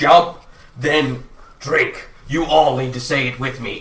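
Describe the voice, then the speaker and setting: A man's put-on character voice, fairly high-pitched, at a fairly slow pace. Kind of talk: fantasy dwarf, game master voice. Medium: actual play. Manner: gruff, brusque.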